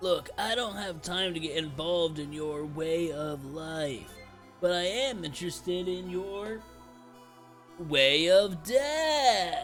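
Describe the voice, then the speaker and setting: Clear music plays in the background. Over it comes a put-on character voice at a fairly slow pace. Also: man, high pitch for a man. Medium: game stream. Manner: dry, sardonic.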